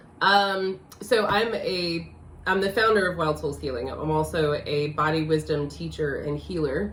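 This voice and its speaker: Speaking at a fairly slow pace, a woman has a very deep, low pitch with vocal fry, and the room gives audible echo. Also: ordinary pitch variation. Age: 40s. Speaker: life coach. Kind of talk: casual chat.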